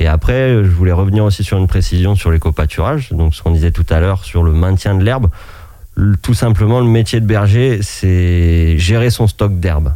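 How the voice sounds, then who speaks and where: A man's very deep, low voice with a dark, mellow tone, ordinary pitch variation and a moderate pace. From France, Maine-et-Loire (Anjou). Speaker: shepherd. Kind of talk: radio interview. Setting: radio studio.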